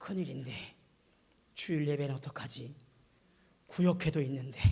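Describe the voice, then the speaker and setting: A man's somewhat breathy, dark, mellow voice at a fairly high pitch, with ordinary pitch variation, a moderate pace and audible room echo. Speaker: pastor. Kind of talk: sermon.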